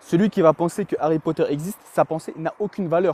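Moderate pace and ordinary pitch variation in a man's voice, a normal speaking voice pitched fairly high. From France, raised from age 3 (born in Chechnya). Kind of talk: heated debate.

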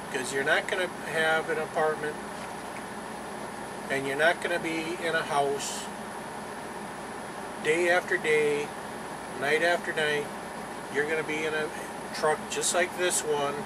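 Against loud background noise, a man speaks at a fairly slow pace with long, frequent pauses. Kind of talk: casual vlog chat. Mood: serious, cautionary. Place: car. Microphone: phone near.

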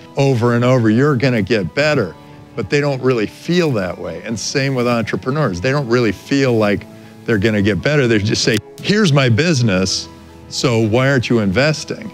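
Faint music plays behind a man's voice. He speaks at a moderate pace. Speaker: panelist. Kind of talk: panel discussion commentary. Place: studio. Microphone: lapel.

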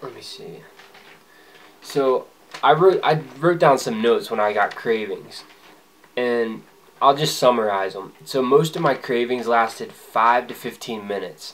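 Pausing long and often, a man at medium pitch shows big swings in loudness and ordinary pitch variation. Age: 20s. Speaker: vlogger. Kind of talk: personal vlog monologue. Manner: casual, conversational. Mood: relaxed, reflective. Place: home room. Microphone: phone near.

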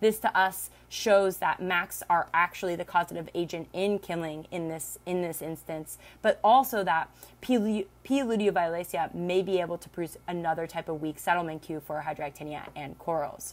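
A woman with an unremarkable speaking voice, fairly low pitch, ordinary pitch variation and a moderate pace. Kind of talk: lecture. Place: home room. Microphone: webcam.

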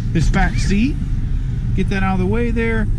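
Loud background noise fills the clip. The speaker keeps a moderate pace. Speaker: car salesperson. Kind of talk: vehicle walkaround commentary. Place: car. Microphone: phone near.

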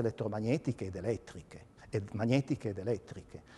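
A man's plain, everyday voice at medium pitch, with ordinary pitch variation and a moderate pace. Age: 60s. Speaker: physicist and colorimetry lecturer. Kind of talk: lecture. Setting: museum evening talk with audience.

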